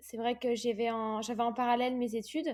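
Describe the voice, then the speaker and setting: A woman talks at a moderate pace with a fairly high pitch. The recording is very clean, with a silent background. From Réunion. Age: 20s. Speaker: professional triathlete. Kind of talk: interview. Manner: hesitant, many fillers.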